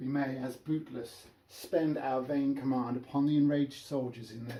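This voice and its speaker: A man with a British accent, medium in pitch, at a moderate pace with fairly even intonation. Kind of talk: Shakespeare reading.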